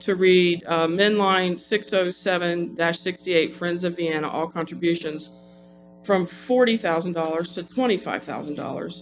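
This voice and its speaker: Music plays in the background as a man speaks in a high pitch with fairly even intonation. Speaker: city council member. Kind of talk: council meeting debate. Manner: fast; hesitant, many restarts.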